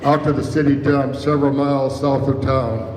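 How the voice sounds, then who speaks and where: A man with a Midwestern American accent speaks at a moderate pace in a fairly high pitch for a man, with noticeable background noise and audible room echo. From US Midwest, Iowa. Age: 80s+. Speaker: local author and storyteller. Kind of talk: reading aloud. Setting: stage with audience.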